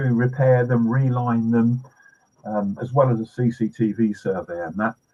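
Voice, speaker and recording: A man speaks at a medium pitch with a British accent, his voice somewhat breathy. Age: 70s. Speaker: pest control trainer. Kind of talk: podcast interview.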